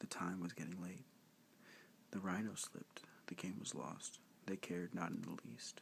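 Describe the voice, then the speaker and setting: A whisper delivered at a moderate pace. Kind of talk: bedtime story reading. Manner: soft-spoken.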